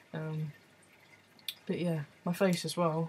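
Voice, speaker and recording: A man's fairly high voice with an English accent, amid noticeable background noise. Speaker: vlogger. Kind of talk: video diary. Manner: casual, hesitant with many ums.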